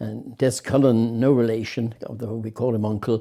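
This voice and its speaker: A man speaks at a fairly quick pace and a medium pitch. His tone is dark and mellow. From Ireland, Limerick. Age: 70s. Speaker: retired racing driver. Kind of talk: interview. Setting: at home. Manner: halting.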